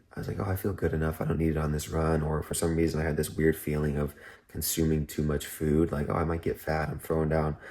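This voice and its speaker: Whispering, a man speaks at a fairly quick pace. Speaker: amateur marathon runner vlogger. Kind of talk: casual vlog talk to camera. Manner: casual, with fillers.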